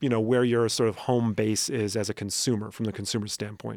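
The recording is very clean, with a silent background and a dry, close sound with no echo. A man speaks at medium pitch and a fairly quick pace. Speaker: podcast co-host and lecturer. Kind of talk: casual chat. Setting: studio. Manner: animated.

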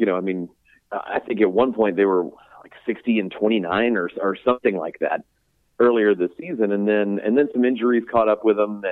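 A man's normal speaking voice, fairly low in pitch, with fairly even intonation at a moderate pace. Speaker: baseball writer covering the Astros. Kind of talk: interview about playoff preview.

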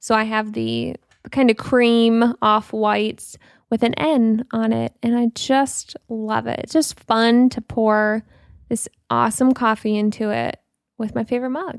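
A woman's unremarkable speaking voice, fairly high in pitch, with fairly even intonation and a fairly slow pace. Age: 20s. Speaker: podcast co-host. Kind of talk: casual chat.

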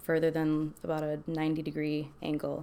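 Someone speaks at a moderate pace on a very clean recording with a silent background. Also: woman. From Milwaukee, Wisconsin (Army family, moved around). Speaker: dancer living with lupus. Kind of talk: casual interview, personal testimony.

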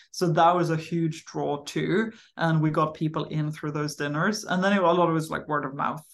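Fairly quick woman's speech, very deep and low, with vocal fry over a quiet background. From Sweden. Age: 30s. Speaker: startup founder and CEO. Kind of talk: casual interview conversation.

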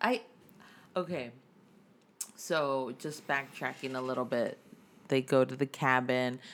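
A woman with an American accent speaks at a fairly slow pace in a very deep, low voice, her intonation fairly even, with long, frequent pauses. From Texas. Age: 30s. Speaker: podcast co-host. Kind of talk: casual chat.

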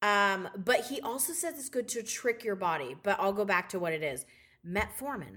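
An animated, bright, sharp tone with very wide pitch swings at a moderate pace. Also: woman, medium pitch for a woman. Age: 40s. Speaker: podcast co-host. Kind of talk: casual chat.

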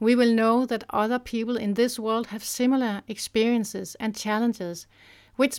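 A woman with a fairly high pitch speaks in a Danish accent at a moderate pace, on a very clean recording with a silent background. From Denmark. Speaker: parenting author. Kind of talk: scripted narration.

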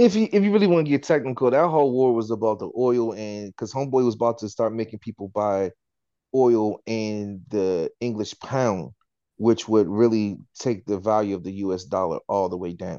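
A man speaks at a moderate pace with a fairly low pitch and a dark, mellow tone. His pitch varies in an ordinary way, and the background is quiet. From Washington DC area. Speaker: podcast co-host, chef. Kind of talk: casual chat.

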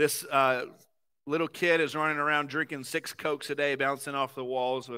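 A man speaks in a bright, sharp tone with a Southern US accent and fairly even intonation. The pace is moderate, and the recording is very clean with a silent background. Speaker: pastor. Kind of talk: sermon. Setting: church.

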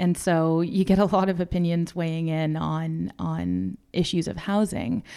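The recording is very clean, with a silent background. The voice has a dark, mellow tone and a Canadian accent. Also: woman. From Canada, Toronto. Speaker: housing advocate. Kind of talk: interview. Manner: halting.

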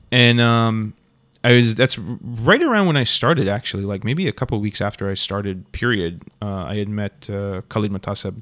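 A man with a plain, everyday voice speaks at a moderate pace, his pitch fairly low with ordinary variation, on a very clean recording with a silent background. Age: 30s. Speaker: cinematographer. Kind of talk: casual chat.

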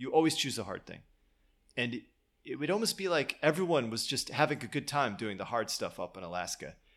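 The speaker has an American accent and vocal fry. The pitch moves in very wide swings. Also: man, very clean recording, silent background. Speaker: podcast host. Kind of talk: casual conversation about a podcast.

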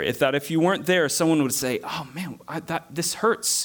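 Lively in intonation and marked by vocal fry, a man with a Southern US accent and fairly high pitch speaks at a moderate pace in a very clean recording with a silent background. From US South. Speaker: preacher. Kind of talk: sermon.

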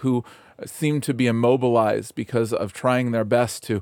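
This is a normal speaking voice with fairly even intonation at a moderate pace. The sound is dry and close with no echo, on a very clean recording with a silent background. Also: man. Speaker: pastor. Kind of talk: devotional talk turning into fervent prayer. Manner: earnest, heartfelt, pleading.

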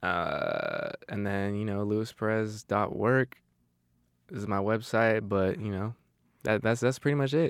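With an American accent, a man speaks in a plain, everyday voice that sits fairly low and has ordinary pitch variation. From Arizona. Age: young. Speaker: photographer and cinematographer. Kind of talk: casual chat.

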